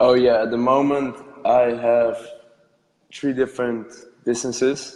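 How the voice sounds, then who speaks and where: A man with a Dutch accent in a monotone, flat delivery, fairly slow, with long, frequent pauses and audible room echo. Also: medium pitch for a man. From Netherlands. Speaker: entrepreneur, podcast guest. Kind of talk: casual interview.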